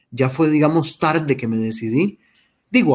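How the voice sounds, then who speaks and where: A man's fairly high voice with lively intonation, on a very clean recording with a silent background. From Costa Rica, Heredia. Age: 40s. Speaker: journalist. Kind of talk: interview testimony.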